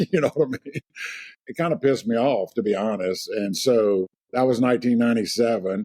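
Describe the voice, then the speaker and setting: Dry and close with no echo, a man with a Louisiana accent speaks fairly quickly in a dark, mellow tone at medium pitch with ordinary pitch variation. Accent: Louisiana, noticeable. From US South, Lake Charles, Louisiana. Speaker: real estate agent. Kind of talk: interview.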